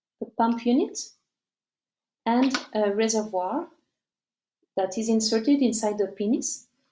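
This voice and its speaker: A woman's fairly high-pitched, somewhat breathy voice with a dark, mellow tone and a French accent, fairly slow, with ordinary pitch variation. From France. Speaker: company representative. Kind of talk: live presentation. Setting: live stream. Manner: halting.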